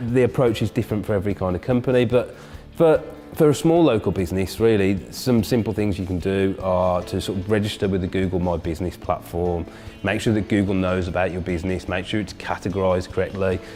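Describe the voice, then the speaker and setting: Through noticeable background noise, a man with a very deep, low pitch talks at a very fast pace with ordinary pitch variation. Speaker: search marketing business owner. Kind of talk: interview answer.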